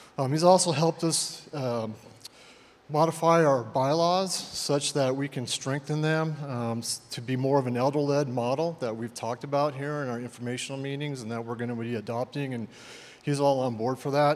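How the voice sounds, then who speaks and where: Fairly high-pitched man at a moderate pace, fairly even intonation, noticeable background noise. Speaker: church elder. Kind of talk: introduction speech. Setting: church. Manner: reserved.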